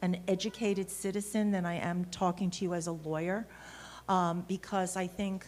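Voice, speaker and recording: In a New York accent, a woman speaks at a moderate pace with a medium pitch. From Brooklyn, New York. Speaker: lawyer. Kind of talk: conference talk. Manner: halting.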